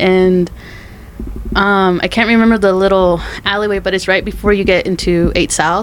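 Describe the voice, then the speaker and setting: A woman with an American accent speaks at a medium pitch with fairly even intonation. Noticeable background noise can be heard. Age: 20s. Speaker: podcast co-host and law school applicant. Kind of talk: casual chat.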